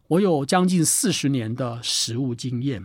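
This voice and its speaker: In a very clean recording with a silent background, a man uses lively intonation at a fairly high pitch. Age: 60s. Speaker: author. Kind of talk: book talk.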